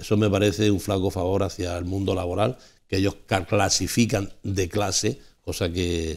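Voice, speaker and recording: An ordinary speaking voice, a man's, fairly low in pitch, at a moderate pace with fairly even intonation and a quiet background. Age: 60s. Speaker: panelist on a local TV talk show; TV talk show panelist. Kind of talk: televised panel debate. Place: studio. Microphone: lapel.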